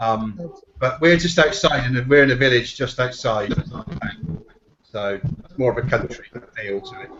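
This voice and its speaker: Speaking at a moderate pace with long, frequent pauses, a man with a slight Bristol accent uses lively intonation at a medium pitch. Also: big swings in loudness. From England, Bristol. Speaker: SEO professional, panel guest. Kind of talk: casual chat.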